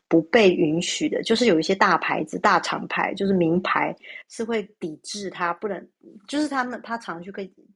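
A woman speaks at a medium pitch and a moderate pace with ordinary pitch variation. The recording is very clean and the background silent. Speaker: human design analyst. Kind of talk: casual chat. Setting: live social audio room.

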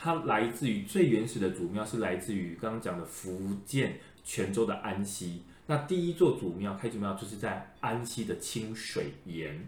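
A man talks at a moderate pace, somewhat breathy. There is audible room echo. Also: fairly low pitch for a man, lively intonation. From Taiwan, Changhua (Lukang/Erlin area). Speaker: podcast host, folklore expert. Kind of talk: casual chat.

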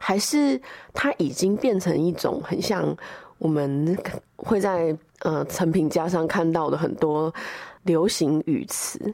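In a dark, mellow tone, a woman speaks very slowly at a fairly low pitch, with ordinary pitch variation and very even loudness. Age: young. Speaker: podcast producer. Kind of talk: solo recorded commentary.

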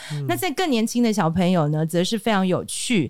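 Noticeable background noise sits behind a woman at medium pitch whose tone is animated and intonation lively. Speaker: speech and communication trainer. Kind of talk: interview.

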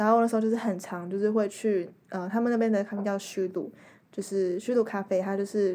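Her tone is dark and mellow, with monotone, flat intonation at a medium pitch. The woman talks at a fairly quick pace in a very clean recording with a silent background. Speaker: exchange student. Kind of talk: casual chat.

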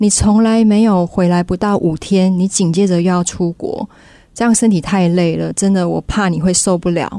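Moderate pacing and ordinary pitch variation from a plain, everyday voice. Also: woman. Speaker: business owner, former flight attendant. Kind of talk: storytelling speech.

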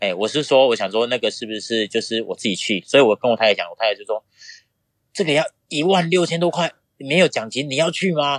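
A man speaks very fast in a fairly high voice. His intonation is lively, and the sound is dry and close with no echo. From Taiwan, Pingtung County (southern Taiwan). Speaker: triathlete and boxing coach. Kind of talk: interview.

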